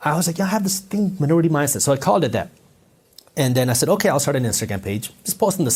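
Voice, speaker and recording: A man's fairly high voice, animated in tone, with very wide pitch swings. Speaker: entrepreneur and finance content creator. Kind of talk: interview conversation. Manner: animated storytelling.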